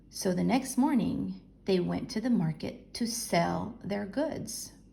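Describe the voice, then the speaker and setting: A woman talks at a very slow pace. Audible room echo is present. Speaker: elementary school teacher. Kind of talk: lesson with reading aloud. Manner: slow, explanatory.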